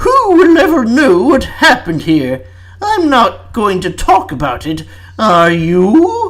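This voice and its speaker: Over light background noise, a man puts on a character voice at an extremely high pitch, speaking at a fairly slow pace. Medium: read story. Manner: simpering with attempted menace.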